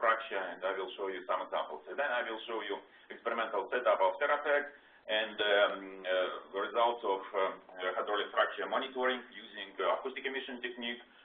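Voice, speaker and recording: A man speaks at a fairly quick pace with a Russian accent, using ordinary pitch variation. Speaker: research scientist. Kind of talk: lecture. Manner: halting, many fillers.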